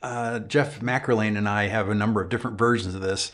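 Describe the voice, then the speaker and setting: A man with an American accent and a normal speaking voice, medium pitch, moderate pace and fairly even intonation. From Upstate New York. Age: 60s. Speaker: YouTube guitar channel host. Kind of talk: live stream chat. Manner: casual, many fillers.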